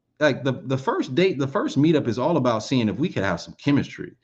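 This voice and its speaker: Speaking at a fairly quick pace, a man sounds somewhat breathy, with a fairly high pitch and lively intonation. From Alabama. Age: 20s. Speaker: commentary YouTuber. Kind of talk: casual commentary monologue. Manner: conversational, addressing viewers.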